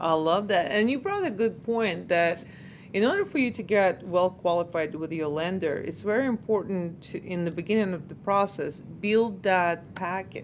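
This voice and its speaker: A woman talks in a normal speaking voice at a moderate pace. Her pitch is medium, with ordinary variation. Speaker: mortgage lending host and interviewer. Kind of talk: interview question.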